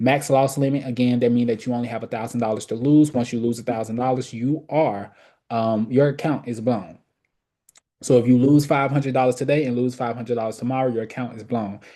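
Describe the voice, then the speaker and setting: Against a quiet background, a man talks at a fairly quick pace with a medium pitch and a dark, mellow tone. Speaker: trading educator. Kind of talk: webinar tutorial. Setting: live online webinar. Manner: loud; casual, animated.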